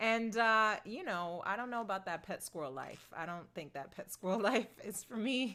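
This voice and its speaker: A woman speaks loudly at a fairly high pitch and a moderate pace, with hardly any pauses. Her tone is bright and sharp, and her intonation is lively. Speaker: singer-songwriter. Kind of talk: livestream Q&A reading chat. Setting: outdoors at computer livestream.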